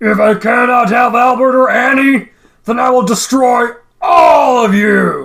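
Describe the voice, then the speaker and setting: A put-on character voice growls at a fairly slow pace. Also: man, extremely high pitch for a man. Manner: growling, menacing.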